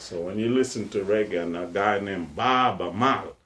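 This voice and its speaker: A man with a Jamaican accent speaks at a moderate pace. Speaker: researcher of Fulani culture. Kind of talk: interview answer.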